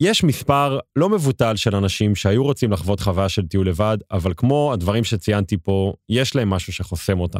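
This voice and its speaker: An animated man at a moderate pace, in a dry, close sound with no echo and a very clean recording with a silent background. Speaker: travel podcast host. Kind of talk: solo podcast monologue.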